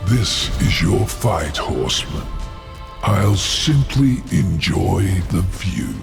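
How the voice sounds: A man's put-on character voice, low-pitched and slow, with vocal fry, big pitch swings and clear music in the background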